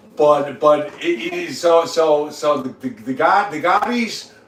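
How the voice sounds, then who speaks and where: There is noticeable background noise as a man with a fairly high voice speaks at a fairly slow pace. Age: 60s. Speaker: livestreamer. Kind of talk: casual chat. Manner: halting, heavy repetition; loud.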